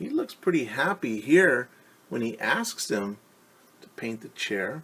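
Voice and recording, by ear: This is a person reading aloud in a natural voice.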